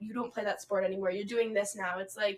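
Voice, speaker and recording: In an animated tone, a woman speaks at a medium pitch. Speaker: podcast co-host. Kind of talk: casual chat. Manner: loud when excited.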